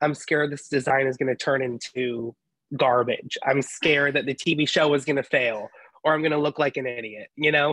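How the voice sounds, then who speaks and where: Here a man speaks at a fairly high pitch with a bright, sharp tone. His intonation stays fairly even, and the sound is dry and close with no echo. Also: moderate pace. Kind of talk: casual interview conversation.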